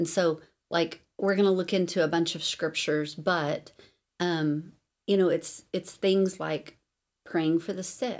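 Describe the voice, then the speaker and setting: Using an unremarkable speaking voice, a woman talks at a fairly slow pace with a fairly low pitch and fairly even intonation. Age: 40s. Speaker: podcast host and Bible teacher. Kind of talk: teaching podcast monologue with prayer. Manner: casual, filler-heavy.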